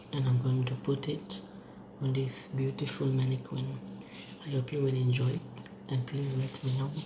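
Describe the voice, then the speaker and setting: Delivered at a moderate pace with long, frequent pauses, the speech has noticeable background noise behind it. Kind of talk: ASMR makeup role-play tutorial. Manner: whispered.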